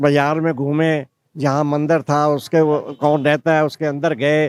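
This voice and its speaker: A man speaks with a fairly high-pitched voice. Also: dry, close sound with no echo. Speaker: visiting elderly Indian pilgrim. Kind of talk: casual interview. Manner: halting.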